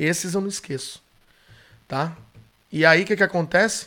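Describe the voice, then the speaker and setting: A man with a high pitch speaks at a moderate pace. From São Paulo, Brazil. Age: 40s. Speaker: dog trainer. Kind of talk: storytelling monologue.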